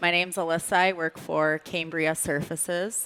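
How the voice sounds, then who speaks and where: Her voice has a bright, sharp tone and a fairly low pitch. The woman speaks with a Minnesotan accent. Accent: Minnesota. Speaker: brand content director. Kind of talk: panel discussion. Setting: stage with audience.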